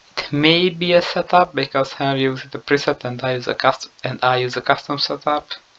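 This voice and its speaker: Over noticeable background noise, a man with a non-native accent speaks at a fairly quick pace with hardly any pauses, using a fairly high pitch and fairly even intonation. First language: not English. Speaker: gaming YouTuber. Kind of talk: video game lap analysis commentary. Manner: halting.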